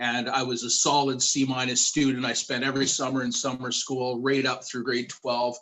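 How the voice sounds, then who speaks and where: A man with a Canadian accent speaks in a medium, monotone, flat voice at a moderate pace with hardly any pauses over noticeable background noise. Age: 40s. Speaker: youth worker. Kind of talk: panel discussion.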